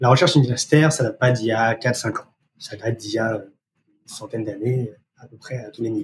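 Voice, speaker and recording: A somewhat breathy man speaks at a very fast pace with fairly even intonation, big swings in loudness and long, frequent pauses. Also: medium pitch for a man. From France. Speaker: research operations manager. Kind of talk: interview.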